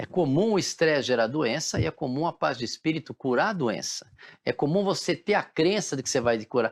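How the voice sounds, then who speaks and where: Vocal fry runs through speech at a moderate pace, recorded very cleanly against a silent background with a dry, close sound and no echo. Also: man. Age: 60s. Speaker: physician. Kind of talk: interview.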